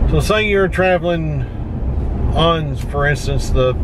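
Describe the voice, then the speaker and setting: Recorded dry with no echo, a man speaks over noticeable background noise. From Tennessee. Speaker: outdoor vlogger. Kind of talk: casual vlog narration. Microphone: phone near.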